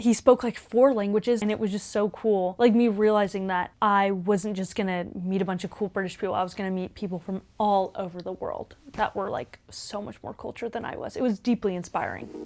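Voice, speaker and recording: A woman with a Texan accent talks at a fairly quick pace with hardly any pauses. Her pitch is medium and her intonation fairly even. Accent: Texan American. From Texas, Houston. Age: 20s. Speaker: student vlogger. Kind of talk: vlog voiceover narration.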